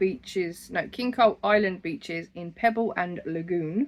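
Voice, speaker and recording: A woman speaks at a medium pitch with an Essex accent. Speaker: crochet podcaster. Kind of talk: casual monthly craft vlog.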